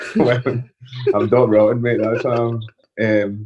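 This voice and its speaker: A man with a Scottish accent. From Scotland (moved from Israel at about four). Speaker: professional wrestler. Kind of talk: podcast interview.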